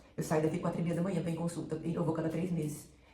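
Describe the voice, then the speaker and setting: Amid noticeable background noise and audible room echo, a woman talks at a fairly low pitch. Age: 60s. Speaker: cancer survivor vlogger. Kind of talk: personal testimony. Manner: halting, with repetitions and self-corrections.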